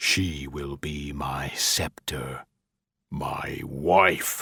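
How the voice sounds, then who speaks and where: Over background music, a man does a put-on character voice, growling very slowly in a very deep, low pitch with fairly even intonation. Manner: menacing, demonic.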